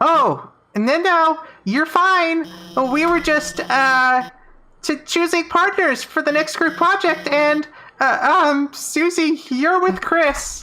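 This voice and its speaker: A put-on character voice, squeaky and high-pitched. It moves at a very slow pace with long, frequent pauses. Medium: game stream. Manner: nervous, halting.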